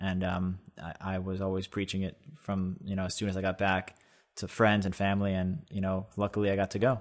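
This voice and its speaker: With an American accent, a man speaks at a moderate pace in an unremarkable speaking voice, fairly low in pitch, in a very clean recording with a silent background. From US Northeast, Long Island, New York. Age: 20s. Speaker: entrepreneur, company co-founder. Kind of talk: casual interview.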